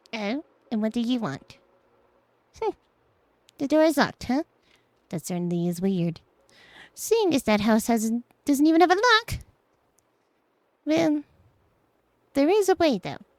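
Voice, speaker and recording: A woman uses a put-on character voice pitched high, with very wide pitch swings. Her pace is moderate, broken by long, frequent pauses. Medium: game stream. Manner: teasing, theatrical.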